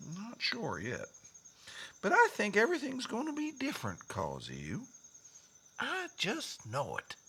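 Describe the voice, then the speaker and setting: Putting on a character voice, the speaker drawls in a Western US accent at a moderate pace with long, frequent pauses. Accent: Old West drawl. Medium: audio drama. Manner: folksy, drawling.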